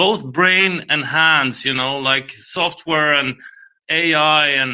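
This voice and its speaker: In a very clean recording with a silent background, a man speaks at a fairly slow pace. His voice is fairly high in pitch, with a bright, sharp tone. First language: not English. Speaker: investor on a live audio panel. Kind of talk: casual discussion on live audio space.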